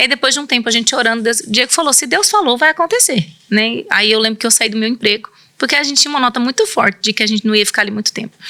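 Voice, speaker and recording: A woman speaks very fast in a fairly high pitch with ordinary pitch variation, the sound dry and close with no echo but with noticeable background noise. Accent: rural São Paulo. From interior of São Paulo state, Brazil. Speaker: missionary and pastor's wife. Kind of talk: interview testimony.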